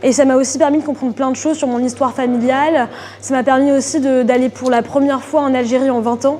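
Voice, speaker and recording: A woman talks at a very fast pace in a high, monotone voice with flat intonation. Background noise is noticeable. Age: 20s. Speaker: art student. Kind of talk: interview. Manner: hesitant, many fillers.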